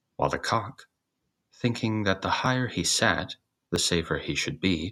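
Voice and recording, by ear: A man speaks in a low voice with a bright, sharp tone. His intonation is lively. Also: moderate pace.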